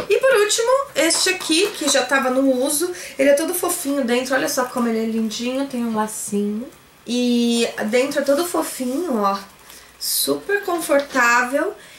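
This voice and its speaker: A woman talks at a moderate pace in an animated tone, her high voice full of lively intonation. Light background noise and audible room echo are present. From Brazil. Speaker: YouTuber, online shop owner; YouTuber. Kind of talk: haul vlog, casual talk to camera. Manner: chatty, animated. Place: home room. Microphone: phone near.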